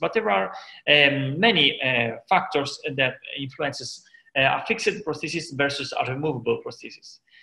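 At a moderate pace, a man talks over a quiet background. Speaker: dental lecturer. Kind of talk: lecture. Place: office. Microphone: headset.

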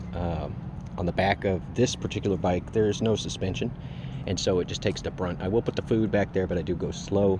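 There is noticeable background noise behind a man whose very deep, low pitch shows ordinary variation, in a dry sound with no echo. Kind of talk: casual tutorial. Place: street. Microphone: phone near.

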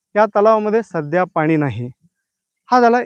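With lively intonation, the man talks. His sound is dry and close, without any echo. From Akkalkot taluka, Solapur, Maharashtra. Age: 40s. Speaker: local news channel host. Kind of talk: live field report. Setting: outdoors. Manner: halting.

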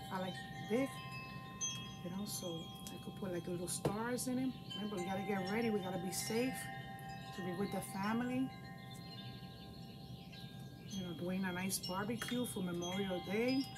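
A woman at a moderate pace, with long, frequent pauses over loud background noise. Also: ordinary pitch variation. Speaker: craft instructor for seniors. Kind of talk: casual tutorial chat. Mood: warm, chatty. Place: home room. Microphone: camera far.

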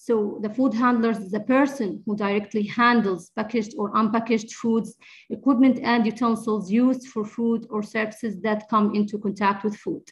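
A woman with a fairly high pitch and a somewhat breathy voice speaks at a moderate pace with fairly even intonation and hardly any pauses. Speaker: infection control nurse. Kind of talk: lecture. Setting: video call.

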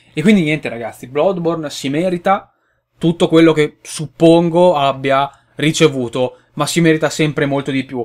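A man talks at a moderate pace with a fairly high pitch. His pitch varies in an ordinary way against a quiet background. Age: 20s. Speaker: gaming youtuber; gaming video creator. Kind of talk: casual video commentary. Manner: hesitant, with fillers. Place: home room. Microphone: webcam.

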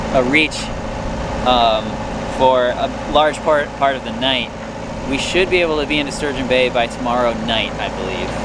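Over loud background noise, a man talks at a moderate pace with ordinary pitch variation and long, frequent pauses, his voice dry with no echo. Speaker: vlogger. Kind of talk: casual vlog chat. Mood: excited, cheerful. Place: boat. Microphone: phone near.

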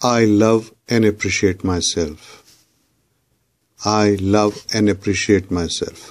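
Speech moves at a very slow pace, broken by long, frequent pauses. The intonation stays fairly even. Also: man, fairly low pitch for a man. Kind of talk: spoken affirmations, repeat-after-me guided meditation.

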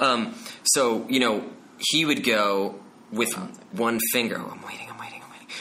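Speaking with an American accent, this voice leaves long, frequent pauses, swings widely in loudness, and carries audible room echo over noticeable background noise. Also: man, medium pitch for a man, ordinary pitch variation, moderate pace. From New Jersey, Bergen County. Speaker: Broadway actor. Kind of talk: casual chat.

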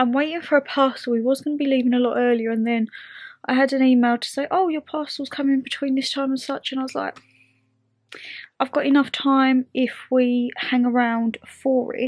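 The voice moves at a moderate pace with fairly even intonation. The sound is dry with no echo, and the background is quiet. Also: woman, high pitch for a woman. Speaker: vlogger. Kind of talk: casual vlog chat. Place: home room. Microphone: phone near.

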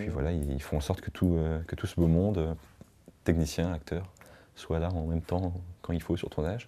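With a very deep, low pitch and a dark, mellow tone, a man speaks at a fairly quick pace with fairly even intonation. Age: 20s. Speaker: short film director. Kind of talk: interview. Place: home room.

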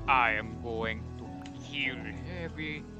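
A man's put-on character voice over loud music in the background. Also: fairly low pitch for a man. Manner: exaggerated, comical.

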